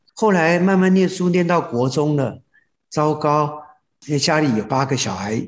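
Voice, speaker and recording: This man talks at a moderate pace, his voice somewhat breathy and his intonation lively. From Taiwan, raised in Hsinchu (Zhudong). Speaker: rural hotel operator. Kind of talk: interview.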